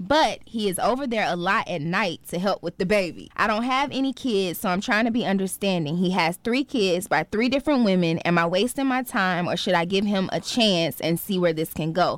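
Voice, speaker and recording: A woman with an unremarkable speaking voice, her pitch medium and her intonation lively. She talks with hardly any pauses. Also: fairly quick pace. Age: 20s. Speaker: podcast co-host. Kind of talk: casual chat.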